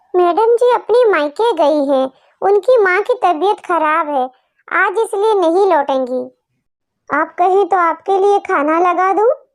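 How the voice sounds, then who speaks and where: Using a cartoonish character voice pitched extremely high, a woman talks at a moderate pace with lively intonation and very even loudness. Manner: sweet-tongued and cunning.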